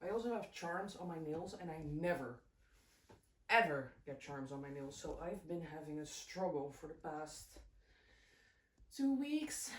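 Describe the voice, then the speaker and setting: With a Dutch accent, a woman speaks at a fairly slow pace and fairly low pitch, somewhat breathy, with lively intonation, big swings in loudness and long, frequent pauses. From Netherlands. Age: 20s. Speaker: crochet vlogger. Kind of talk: casual chat. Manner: animated.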